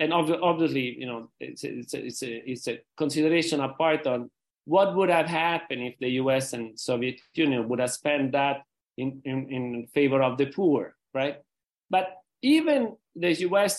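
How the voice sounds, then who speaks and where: He speaks with an Italian accent. The voice is a man's. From Rome, Italy. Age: 60s. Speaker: peace foundation president. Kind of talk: interview. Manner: halting.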